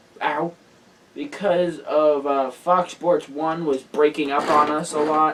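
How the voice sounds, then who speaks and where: This man speaks at a fairly slow pace in a fairly high pitch, his intonation fairly even, over noticeable background noise. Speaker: motorsports show host. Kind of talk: casual show round-up.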